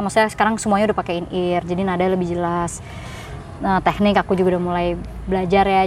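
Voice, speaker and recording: Over noticeable background noise, a woman speaks at a very fast pace with medium pitch and monotone, flat intonation. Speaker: singer in a band. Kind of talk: casual chat.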